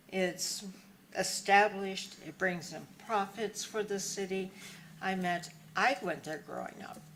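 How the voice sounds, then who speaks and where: A woman at medium pitch and a fairly slow pace, fairly even intonation, big swings in loudness, long, frequent pauses, audible room echo and noticeable background noise. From US Pacific Northwest, central Washington. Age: 60s. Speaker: local resident, former nurse. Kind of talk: public comment at city council meeting.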